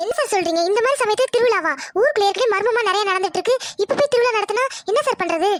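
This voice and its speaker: A woman performs a cartoonish character voice at an extremely high pitch and a very fast pace. Her intonation is lively while her loudness stays very even. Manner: insistent.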